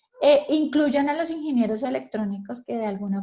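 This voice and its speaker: This woman's tone is dark and mellow. Her pitch moves with ordinary variation. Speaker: fire safety instructor. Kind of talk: lecture. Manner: fast.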